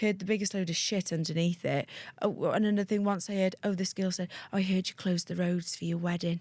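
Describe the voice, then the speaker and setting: A woman speaks very fast at a medium pitch, with a North Wales accent. The recording is very clean, with a silent background. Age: 30s. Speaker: aesthetics practitioner. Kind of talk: casual interview chat. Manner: animated.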